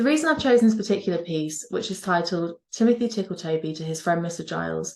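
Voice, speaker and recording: A woman with a Norfolk accent talks at a very fast pace and a fairly low pitch, with ordinary pitch variation. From England, Norfolk. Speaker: university lecturer. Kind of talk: spoken introduction.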